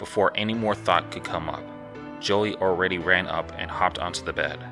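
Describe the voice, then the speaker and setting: A man's very deep, low pitch with ordinary pitch variation at a fairly quick pace, music in the background. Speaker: horror story narrator. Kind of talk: horror story narration.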